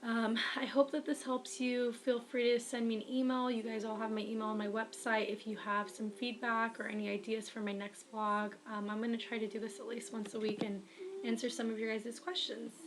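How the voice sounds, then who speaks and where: Against noticeable background noise, a woman talks at a fairly quick pace with hardly any pauses. Her pitch is fairly high and her intonation fairly even. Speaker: writer and vlogger. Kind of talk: advice vlog. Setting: webcam recording.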